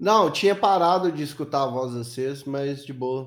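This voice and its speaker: With an ordinary speaking voice, a man speaks at a moderate pace in a fairly high pitch and lively intonation. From Minas Gerais, Brazil. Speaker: YouTuber. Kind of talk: casual chat.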